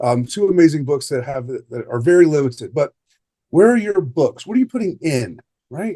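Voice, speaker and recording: The pace is very fast. A man talks in a dark, mellow tone. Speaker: life coach. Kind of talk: online coaching session. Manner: off the cuff, with false starts.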